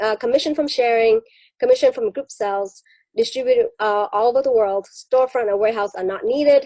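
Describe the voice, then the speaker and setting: A dark, mellow tone from a woman at high pitch, fairly quick pace, and ordinary pitch variation, with a dry, close sound and no echo. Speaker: network marketing distributor presenting business opportunity. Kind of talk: business presentation on video call. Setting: video call. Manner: fast; hesitant with filler words.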